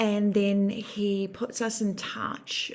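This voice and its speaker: Noticeable background noise runs under the voice. The words come at a very slow pace. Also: woman. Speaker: customer testimonial. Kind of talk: testimony.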